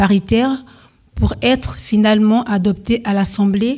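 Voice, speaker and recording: Very slow and somewhat breathy, a woman with a fairly high pitch speaks in a dark, mellow tone with fairly even intonation. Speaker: amateur radio host, French learner. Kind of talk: scripted radio presenting. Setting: stage with audience.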